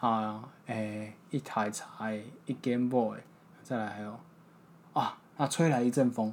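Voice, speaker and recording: A man at medium pitch with a Taiwanese accent, speaking at a very slow pace. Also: fairly even intonation. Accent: Taiwanese Mandarin. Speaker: podcast host learning Hakka. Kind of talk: casual chat.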